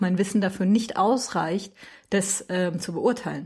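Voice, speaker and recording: In a very clean recording with a silent background, the somewhat breathy voice keeps a moderate pace and fairly even intonation. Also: woman. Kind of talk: casual chat. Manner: rises in pitch when nervous.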